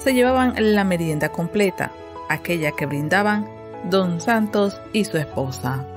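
A woman speaks fairly slowly at a fairly low pitch, with very wide pitch swings. Music plays in the background. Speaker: radio feature narrator. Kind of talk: documentary narration.

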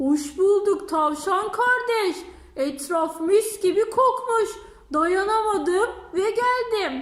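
A put-on character voice at an extremely high pitch, delivered at a very slow pace. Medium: read story. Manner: smug, dismissive.

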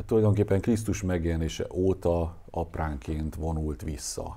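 A man speaks in a very deep, low pitch with a dark, mellow tone and ordinary pitch variation. His voice is somewhat breathy, with audible room echo. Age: 60s. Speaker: lecturer on anthroposophy. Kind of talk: lecture. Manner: halting.

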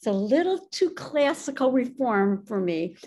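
Over a quiet background, a woman with an American accent speaks at a fairly slow pace, her pitch high and her tone dark and mellow. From Illinois. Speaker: synagogue administrator and community volunteer; interviewee. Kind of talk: interview. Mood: warm, reflective. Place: home room. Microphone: video call.

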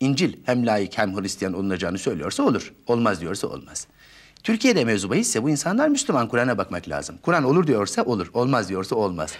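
With very wide swings in pitch, a man talks fairly quickly against a quiet background. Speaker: politician guest. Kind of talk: interview answer. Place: studio. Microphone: lapel.

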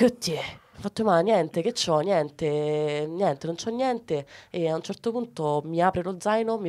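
The speech keeps a moderate pace and ordinary pitch variation. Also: woman. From Ciociaria, Lazio (Arpino, Frosinone); Lazio. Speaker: comedian; comedian guest. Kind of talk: casual interview. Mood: playful, amused. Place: studio. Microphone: studio mic.

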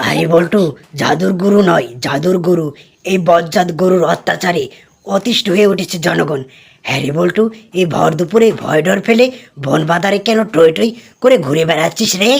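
A cartoonish character voice from a woman, fairly low in pitch, at a moderate pace with ordinary pitch variation

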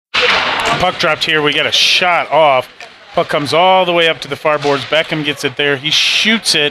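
A man's voice with very even loudness, fairly even intonation, and noticeable background noise. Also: moderate pace, dry sound with no echo. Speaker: amateur play-by-play commentator. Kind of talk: live sports commentary, co-commentator. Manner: casual, hesitant, with fillers. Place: stadium. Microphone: phone near.

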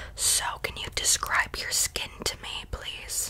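A soft-spoken woman against loud background noise. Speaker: roleplay pampering host. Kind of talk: ASMR roleplay chat. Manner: soft close-mic ASMR murmur. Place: home room. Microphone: earbuds.

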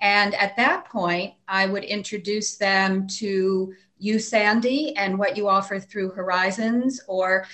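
A woman speaks at a very slow pace. Her pitch varies in an ordinary way over a quiet background. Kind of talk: interview answer. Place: office. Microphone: video call.

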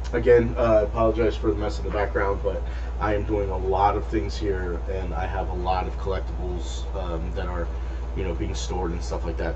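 A man speaks fairly quickly in a flat, monotone way, with noticeable background noise behind him. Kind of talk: casual vlog chat.

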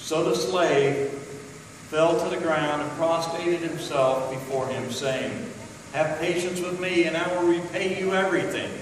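With audible room echo and noticeable background noise, a man speaks in a high pitch at a fairly slow pace with fairly even intonation. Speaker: scripture reader. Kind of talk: scripture reading. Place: church. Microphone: camera far.

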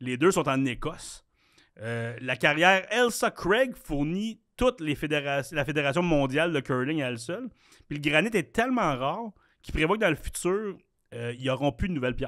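With a Quebec accent, a man talks at a moderate pace in a fairly high pitch, his voice making very wide pitch swings over a quiet background. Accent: Québécois French. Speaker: podcast co-host. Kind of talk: quiz reading; casual chat. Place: studio. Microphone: studio mic.

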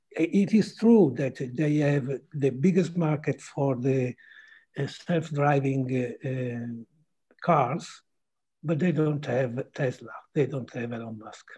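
Against a quiet background, a man with an Italian accent speaks at a very slow pace in a fairly high pitch, his somewhat breathy voice dark and mellow in tone, with ordinary pitch variation and big swings in loudness. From Italy. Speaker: journalist. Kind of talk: panel discussion. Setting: video call. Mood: thoughtful, measured. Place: home room. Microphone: video call.

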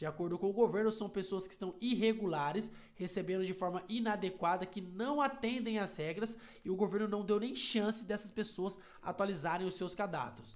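Here a man's voice sits high for a man, with ordinary pitch variation. His tone is animated and his pace moderate. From Brazil. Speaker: YouTuber explaining social benefits. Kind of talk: news explainer video. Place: home room. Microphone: headset.

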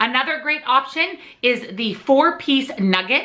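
A woman speaks with lively intonation. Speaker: weight loss vlogger. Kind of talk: tutorial-style vlog talk. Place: home room.

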